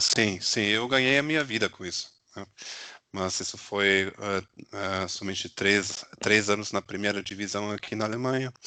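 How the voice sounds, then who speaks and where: In a German accent, a man with a fairly low, bright and sharp voice speaks at a moderate pace with ordinary pitch variation. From Germany. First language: German (speaking Portuguese). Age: 40s. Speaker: SAP consultant, former volleyball player. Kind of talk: interview. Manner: hesitant, many fillers.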